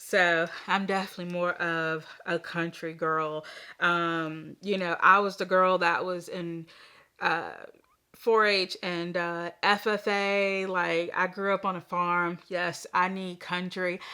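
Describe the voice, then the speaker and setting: A woman with an American accent and a fairly low pitch speaks very slowly in a bright, sharp tone, in a very clean recording with a silent background. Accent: Southern US accent, noticed by city people. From US South, Southern Virginia. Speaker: crochet YouTuber. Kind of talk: casual chat. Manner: animated.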